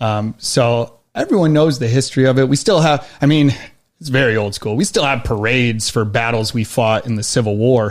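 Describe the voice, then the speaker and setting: A man's unremarkable speaking voice with an American accent, medium in pitch with ordinary pitch variation. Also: moderate pace. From Western New York. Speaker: army veteran and knife maker. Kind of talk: casual interview.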